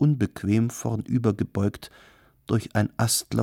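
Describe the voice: The reading aloud is plain, and its pitch holds fairly level.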